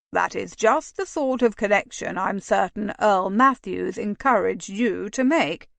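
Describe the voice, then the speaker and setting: A woman does a raspy, put-on character voice at medium pitch. She keeps a moderate pace with hardly any pauses, in a dry, close sound with no echo. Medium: read story. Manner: dry, sly.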